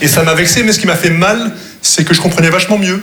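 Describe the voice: A man with a high pitch and a bright, sharp tone talks fast. His pitch varies in an ordinary way, and the room echo is audible.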